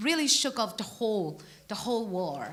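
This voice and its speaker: With a Burmese accent, a woman speaks at a fairly slow pace in a high pitch, her bright, sharp tone moving through very wide pitch swings. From Burma. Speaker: preacher. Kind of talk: sermon. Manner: halting.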